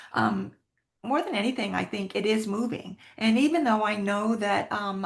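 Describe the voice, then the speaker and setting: A woman of medium pitch speaks at a moderate pace. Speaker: military spouse advocate. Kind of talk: interview.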